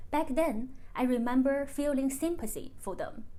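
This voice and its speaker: A woman with a Chinese accent and a dark, mellow tone speaks at a high pitch and a fairly slow pace, with audible room echo. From China. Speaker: YouTuber. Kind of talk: personal vlog monologue.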